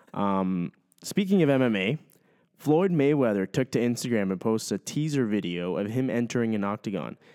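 A man speaks at a moderate pace with a dark, mellow tone and lively intonation, recorded with a dry, close sound with no echo. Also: medium pitch for a man, very clean recording, silent background. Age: 20s. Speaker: sports podcast co-host. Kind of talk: casual chat.

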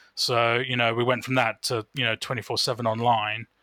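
A man with a bright, sharp tone and medium pitch is heard on a very clean recording with a silent background, dry and close with no echo. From England. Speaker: betting industry professional. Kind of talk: casual interview.

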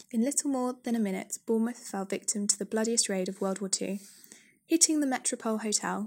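A woman speaks with a British accent at a moderate pace and a fairly high pitch, with ordinary pitch variation. The recording is very clean, with a silent background. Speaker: podcast audio tour guide. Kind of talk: scripted walking-tour narration mixing local history facts with light jokes. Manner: measured, read-from-script delivery of dates and names; dry, self-deprecating humour with an occasional laugh.

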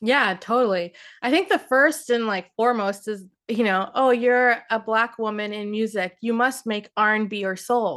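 Against a quiet background, a woman with a plain, everyday voice speaks at a moderate pace. Her pitch is fairly high and varies in an ordinary way. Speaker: singer-songwriter. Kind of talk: casual interview chat. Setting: video call.

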